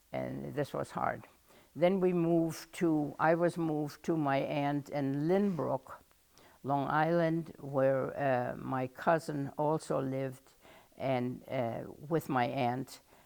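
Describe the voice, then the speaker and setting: Spoken very slowly with a German accent, the delivery keeps a fairly even intonation. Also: woman, very deep, low pitch for a woman. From Germany. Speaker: oral history interviewee. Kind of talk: oral history interview. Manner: halting.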